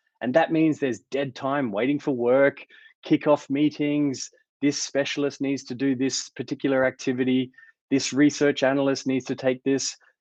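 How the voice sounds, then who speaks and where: A man with an Australian accent talks at a moderate pace in a fairly high pitch, his intonation monotone and flat. The sound is dry and close with no echo, over a quiet background. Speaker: tech company founder and CEO. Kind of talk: conference talk.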